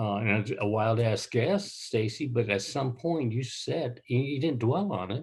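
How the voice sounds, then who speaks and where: Somewhat breathy and medium in pitch, a man speaks at a moderate pace with lively intonation. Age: 70s. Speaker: businessman. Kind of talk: interview.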